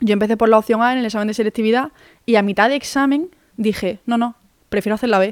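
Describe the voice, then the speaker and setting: A woman's medium-pitched voice, very fast and fairly even in intonation, in a dry, close sound with no echo. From Málaga, Andalusia, Spain. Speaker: podcast host. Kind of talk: casual monologue. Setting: home.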